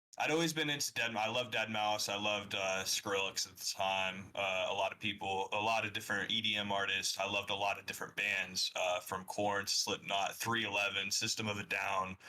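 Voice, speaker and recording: A man with an American accent talks at a fairly quick pace in a fairly low voice, with fairly even intonation, hardly any pauses, and noticeable background noise. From US South, Atlanta. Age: 20s. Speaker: music producer and DJ. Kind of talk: podcast interview. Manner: hesitant, many fillers.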